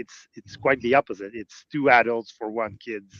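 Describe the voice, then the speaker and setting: A man's medium-pitched voice with a Quebec accent, fairly slow pace and ordinary pitch variation, in a dry, close sound with no echo. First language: French. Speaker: Lego fan show organizer. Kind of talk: casual chat. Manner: halting.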